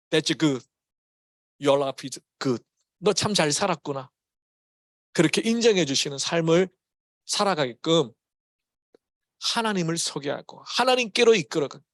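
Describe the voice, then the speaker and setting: Speaking with a Gyeongsang accent, a man uses a fairly high pitch and lively intonation. His pace is fairly slow with long, frequent pauses, and the sound is dry and close with no echo. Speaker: pastor. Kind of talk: sermon. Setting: church. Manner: casual, mixes English words into Korean.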